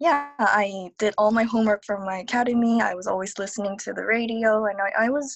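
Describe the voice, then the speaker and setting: This woman speaks with a Korean accent at a fairly high pitch. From South Korea. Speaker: digital nomad, multilingual speaker. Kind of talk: interview.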